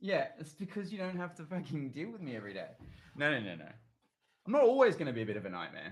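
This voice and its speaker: With vocal fry and an Australian accent, a man talks very fast, his pitch swinging very widely. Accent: Australian twang, people call it weird. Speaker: singer-songwriter. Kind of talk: casual livestream chat with viewers. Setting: YouTube livestream at home. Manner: casual, rambling with fillers.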